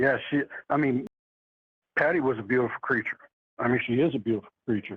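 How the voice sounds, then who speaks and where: With an American accent, a man talks at a fairly quick pace and medium pitch, keeping very even loudness and ordinary pitch variation while taking long, frequent pauses. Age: 60s. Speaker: eyewitness. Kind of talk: interview.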